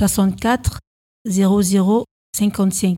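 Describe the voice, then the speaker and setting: A somewhat breathy woman's voice with a dark, mellow tone in a dry, close sound with no echo. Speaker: amateur radio host, French learner. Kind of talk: scripted radio presenting. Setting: stage with audience.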